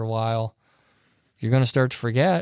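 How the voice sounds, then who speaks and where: Delivered at a very fast pace, the voice has a dark, mellow tone and fairly even intonation. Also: man. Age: 40s. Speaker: church podcast panelist. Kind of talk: casual faith discussion. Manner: halting.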